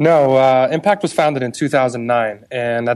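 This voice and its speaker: This is a plain, everyday voice, moving at a fairly slow pace with ordinary pitch variation. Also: man, quiet background. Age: 30s. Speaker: marketing agency executive. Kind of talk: interview.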